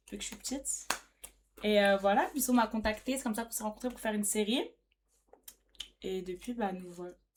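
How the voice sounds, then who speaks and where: Somewhat breathy and in a southwestern French accent, the speech moves at a fairly quick pace with ordinary pitch variation. Loudness swings widely, and pauses come long and often. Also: woman, fairly high pitch for a woman. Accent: regional accent, south-west France. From Bordeaux, south-west France. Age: 20s. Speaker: social media newcomer, streamer's guest. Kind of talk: casual chat on live stream.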